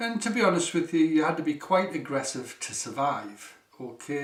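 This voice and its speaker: At a moderate pace, a man with a strong Geordie accent speaks over noticeable background noise. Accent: northeast English (Geordie), strong. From northeast England, South Shields. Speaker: healing teacher, former electrician. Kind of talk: seminar talk.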